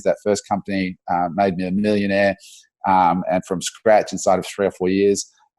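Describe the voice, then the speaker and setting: A man's fairly low voice with an Australian accent, a fairly quick pace, a quiet background and a dry, close sound with no echo. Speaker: entrepreneur. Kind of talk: podcast interview.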